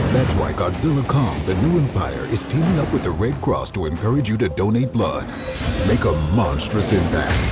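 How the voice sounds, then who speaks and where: Over loud music in the background, a man with an American accent talks at a moderate pace. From United States. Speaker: voice actor. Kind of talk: TV commercial read. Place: booth.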